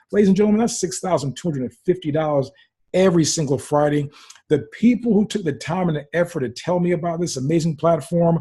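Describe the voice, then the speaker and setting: A man speaks very fast in a high voice with a dark, mellow tone and ordinary pitch variation. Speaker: network marketing presenter. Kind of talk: sales pitch. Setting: webinar. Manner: animated.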